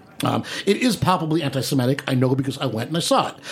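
A man talks very fast in an animated tone with very wide pitch swings over noticeable background noise. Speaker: radio host. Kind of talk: casual comedic banter. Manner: animated, joking.

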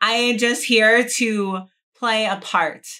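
In an American accent, a woman speaks at a very slow pace with a bright, sharp tone and fairly high pitch. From New Jersey. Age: 30s. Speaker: adult film performer. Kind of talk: casual chat. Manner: talkative.

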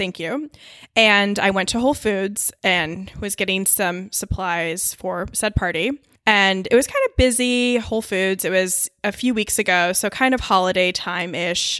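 A woman speaks at a fairly slow pace and a medium pitch, bright and sharp in tone with ordinary pitch variation, on a very clean recording with a silent background. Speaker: design professional. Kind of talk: casual chat. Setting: studio.

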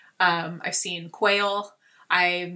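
Her bright, sharp tone sits at a fairly low pitch as this woman speaks with monotone, flat intonation. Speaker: TV and podcast creator, horse owner. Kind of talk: casual chat.

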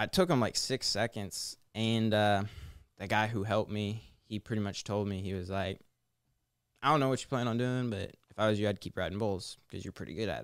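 A man with a plain, everyday voice at a fairly quick pace, on a very clean recording with a silent background. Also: fairly low pitch for a man, ordinary pitch variation. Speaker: guest, former hockey player.

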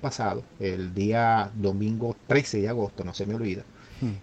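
A man speaking at a fairly slow pace. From Venezuela, Maracaibo. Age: 50s. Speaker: engineer and returned migrant. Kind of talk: interview testimony. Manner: halting, with many repetitions.

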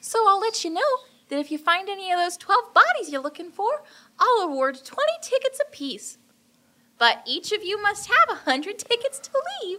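An extremely high, put-on character voice moves at a moderate pace. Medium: actual play. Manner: giggly, falsely cheerful, sinister.

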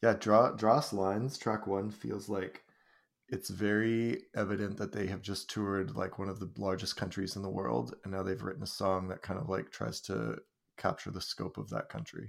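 A man with a Canadian accent and vocal fry speaks at a fairly low pitch and moderate pace, with ordinary pitch variation, on a very clean recording with a silent background. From British Columbia, Canada. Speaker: podcaster and high school English teacher. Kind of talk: casual chat.

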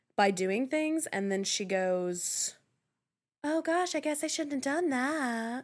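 Very wide pitch swings run through a woman's high voice in an American accent. She speaks at a fairly slow pace in a very clean recording with a silent background. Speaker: guest co-host, host's childhood friend. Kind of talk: casual chat.

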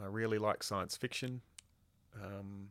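In a very clean recording with a silent background, a man with an Australian accent speaks at a fairly low pitch in a monotone, flat way. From Queensland, Australia. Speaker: occupational therapy lecturer. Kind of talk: podcast interview.

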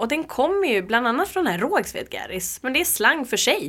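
Her pitch high and her tone bright and sharp, a woman speaks with very wide pitch swings. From Uppsala, Sweden. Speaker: community group founder. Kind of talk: interview.

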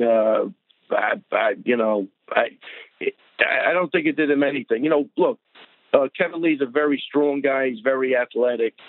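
Here a man talks in an unremarkable speaking voice at a fairly high pitch. His pace is moderate and his pitch varies in an ordinary way. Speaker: coach. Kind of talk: interview.

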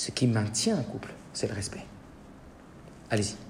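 Talking at a moderate pace, the man is heard with audible room echo. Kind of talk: lecture. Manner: informal, interactive.

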